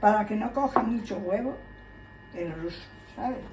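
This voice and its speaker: Through loud background noise, a woman speaks at a fairly high pitch with lively intonation. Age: 90s. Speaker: home cook. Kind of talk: cooking tutorial. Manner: halting. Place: kitchen. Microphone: phone near.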